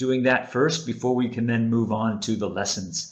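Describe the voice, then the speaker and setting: Medium-pitched male speech at a medium tempo, audible echo from the room. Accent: American. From United States. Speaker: webinar presenter on teaching. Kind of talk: webinar presentation. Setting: online webinar.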